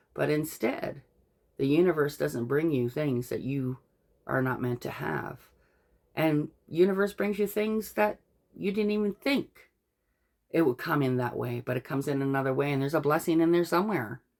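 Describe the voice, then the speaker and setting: A woman with a very deep, low pitch speaks at a moderate pace with lively intonation. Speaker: tarot reader. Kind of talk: tarot card reading with commentary. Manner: stammers when reading aloud.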